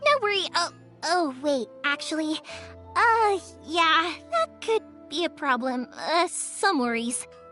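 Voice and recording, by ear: A woman's slow, high-pitched put-on character voice, bright, sharp tone and lively intonation over faint music in the background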